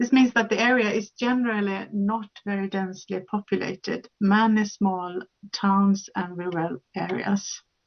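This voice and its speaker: A woman speaks in a somewhat breathy voice. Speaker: conference speaker. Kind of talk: conference presentation. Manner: fast; halting with fillers.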